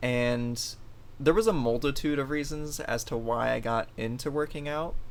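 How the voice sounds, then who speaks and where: A man talks at a medium pitch and a moderate pace, with ordinary pitch variation. Room echo is audible. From Florida, US (born in Ohio). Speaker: fitness coach, podcast host. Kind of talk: casual chat.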